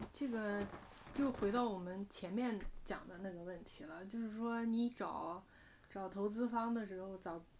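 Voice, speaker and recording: A woman with a normal speaking voice and a medium pitch talks at a fairly slow pace, with ordinary pitch variation and big swings in loudness. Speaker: investment podcast co-host. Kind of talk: casual chat.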